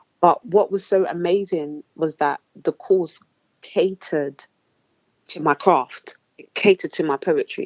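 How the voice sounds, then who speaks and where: In an Essex accent, a woman speaks at a fairly slow pace with ordinary pitch variation. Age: 20s. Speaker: spoken word poet. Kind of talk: interview answer.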